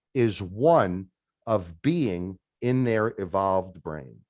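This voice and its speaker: A man speaks with a New York accent in a dry, close sound with no echo. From New York metropolitan area. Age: 50s. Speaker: de-escalation trainer. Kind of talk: webinar presentation.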